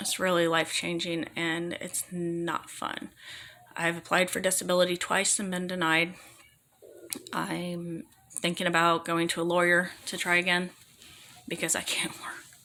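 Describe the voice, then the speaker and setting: Woman speaking in a fairly low, monotone, flat voice at a moderate pace, with long, frequent pauses. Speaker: vlogger talking about own illness. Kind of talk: personal testimony. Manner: halting, repeating words.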